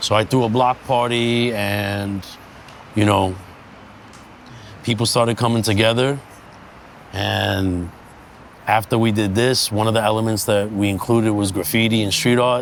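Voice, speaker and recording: A man in a New York accent, fairly low-pitched and fairly even in intonation, at a fairly slow pace over noticeable background noise. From US Northeast, Bushwick, Brooklyn, New York City. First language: Sicilian. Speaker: street art community founder. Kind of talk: interview, personal story.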